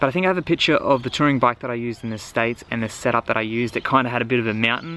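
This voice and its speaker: The man's speech rushes along at a very fast pace. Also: dry sound with no echo. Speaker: bike touring vlogger. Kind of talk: casual vlog chat. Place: garden. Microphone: phone near.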